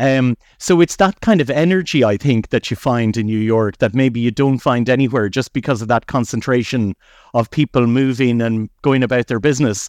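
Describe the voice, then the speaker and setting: Against a quiet background, a man with a medium pitch speaks at a moderate pace with ordinary pitch variation, the sound dry and close with no echo. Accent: Irish. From Ireland, County Mayo. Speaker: Irish expat city guide. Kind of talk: casual chat. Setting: outdoors. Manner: hesitant, many fillers.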